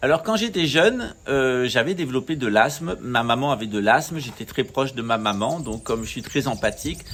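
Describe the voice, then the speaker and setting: A medium-pitched man at a moderate pace with hardly any pauses, lively intonation and noticeable background noise. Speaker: spiritual teacher. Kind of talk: talk to camera. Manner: hesitant.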